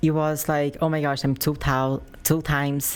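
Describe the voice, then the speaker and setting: A woman with a strong Brazilian accent speaks at a very deep, low pitch in a very clean recording with a silent background. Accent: heavy Brazilian Portuguese. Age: 20s. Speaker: professional bodybuilder. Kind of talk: interview. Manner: animated.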